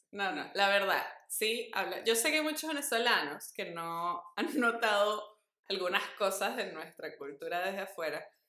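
Very wide pitch swings in a woman's bright, sharp tone. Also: medium pitch for a woman, fairly slow pace. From Venezuela. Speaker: podcast co-host. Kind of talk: casual chat.

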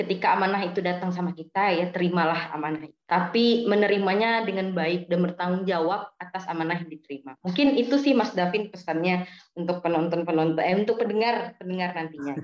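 Speaking very fast with hardly any pauses, a woman holds a medium pitch and varies it in an ordinary way. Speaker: student secretary. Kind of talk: casual interview. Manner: hesitant, filler words.

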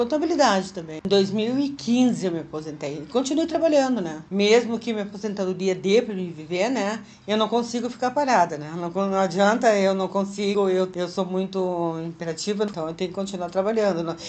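Over noticeable background noise, a woman talks with lively intonation and hardly any pauses. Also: medium pitch for a woman, moderate pace. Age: 60s. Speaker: retiree working as a freelancer. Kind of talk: interview testimony.

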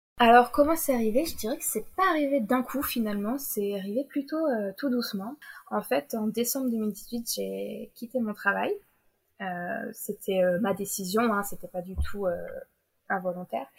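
Lively intonation and a fairly high pitch mark this woman's moderate pace. It is a plain, everyday voice. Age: 20s. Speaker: novelist. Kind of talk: interview.

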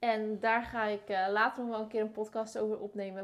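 At a moderate pace, a woman with a fairly high pitch and an ordinary speaking voice comes through in a very clean recording with a silent background. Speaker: podcast host, marketing and visibility consultant. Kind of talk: casual interview chat. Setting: at the host's home.

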